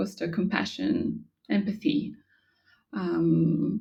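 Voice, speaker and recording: A woman speaks with a French accent. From France. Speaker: yoga instructor. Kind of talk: interview. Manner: halting.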